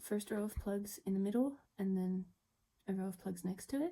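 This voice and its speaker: Her tone is dark and mellow, somewhat breathy. The woman talks at a moderate pace. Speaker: doll customizer. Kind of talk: chatty craft tutorial. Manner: sped up 1.25x; casual, chatty.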